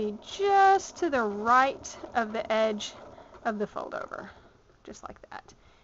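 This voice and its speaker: A high-pitched woman in a Southern US accent amid noticeable background noise. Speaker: sewing tutor. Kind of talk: tutorial. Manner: casual, with frequent fillers.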